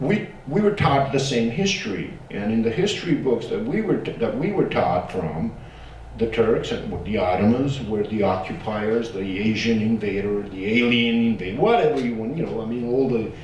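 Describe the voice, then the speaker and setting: A man with a Bosnian accent speaks at a moderate pace and medium pitch with lively intonation. Audible room echo and noticeable background noise surround him. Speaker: genocide survivor and academic. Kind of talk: panel discussion. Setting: panel with audience, streamed. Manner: casual, animated; halting.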